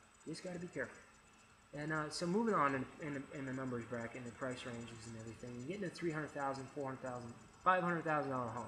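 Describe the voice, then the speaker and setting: Delivered at a very fast pace with long, frequent pauses and ordinary pitch variation, the speech sits over noticeable background noise. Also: man. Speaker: real estate agent. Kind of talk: informal explainer video. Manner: halting, many fillers and repeats.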